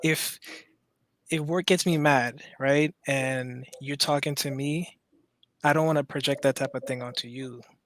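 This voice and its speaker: Speaking in an American accent, a man delivers his words at a fairly slow pace with a fairly high pitch. His intonation is monotone and flat, on a very clean recording with a silent background. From Maryland, Caribbean roots. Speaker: caller. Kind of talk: casual chat. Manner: halting.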